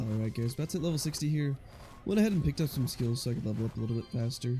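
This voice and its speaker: A man at a very fast pace, medium in pitch with lively intonation, music in the background. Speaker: gaming YouTuber. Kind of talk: casual gameplay commentary.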